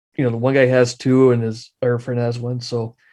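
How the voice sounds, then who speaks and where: In a strong Midwestern accent, the dark, mellow voice moves at a fairly quick pace against a quiet background. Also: man. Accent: thick Midwestern. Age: 40s. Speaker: amateur radio operator and YouTuber. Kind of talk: casual interview chat. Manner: animated.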